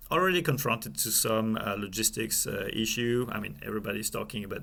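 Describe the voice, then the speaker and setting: At a very fast pace, a man with a French accent talks with audible room echo around him. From France. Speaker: supply chain executive. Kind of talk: interview. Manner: halting, many fillers.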